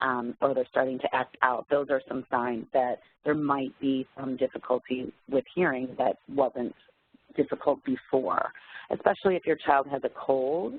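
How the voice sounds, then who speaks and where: This woman has a very deep, low pitch. Her intonation stays fairly even at a moderate pace. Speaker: teacher and parent presenter. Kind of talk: webinar presentation.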